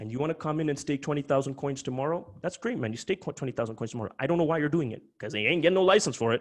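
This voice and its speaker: A man talks at a very fast pace with hardly any pauses, his pitch fairly high. His tone is animated and his intonation lively. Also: quiet background. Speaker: crypto company founder presenting webinar. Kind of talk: webinar presentation. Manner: intense, emphatic.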